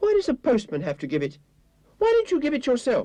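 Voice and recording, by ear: A man puts on a character voice at an extremely high pitch and races along at a very fast pace.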